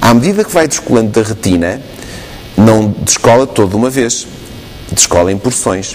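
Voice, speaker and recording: Music plays in the background as a man speaks at a moderate pace. His pitch is medium and varies in an ordinary way. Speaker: ophthalmologist answering viewer questions. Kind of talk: explaining medical answers on TV call-in.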